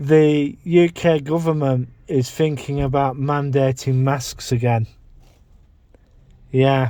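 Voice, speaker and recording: The speaker talks very slowly, with long and frequent pauses. The tone is dark and mellow, and the intonation stays fairly even. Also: man, fairly high pitch for a man. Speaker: vlogger. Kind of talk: casual vlog monologue. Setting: in a parked car. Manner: halting, self-repeating.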